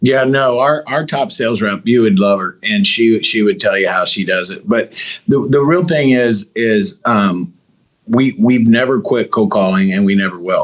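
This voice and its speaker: Someone with an American accent and an unremarkable speaking voice talks at a moderate pace with lively intonation. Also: man, medium pitch for a man. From Missouri. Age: 50s. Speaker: business owner. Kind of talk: interview.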